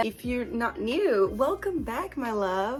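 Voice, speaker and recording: Music plays in the background as a woman talks at a fairly slow pace in an upbeat tone. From Brazil. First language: Portuguese. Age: 20s. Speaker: book vlogger. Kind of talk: casual talk to camera.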